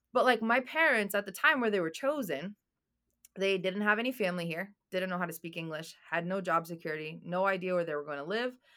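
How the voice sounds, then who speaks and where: Speaking at a very fast pace, a woman uses lively intonation. Her medium-pitched voice has a bright, sharp tone. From Boston, US (born in Albania). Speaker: real estate developer and coach. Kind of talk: interview.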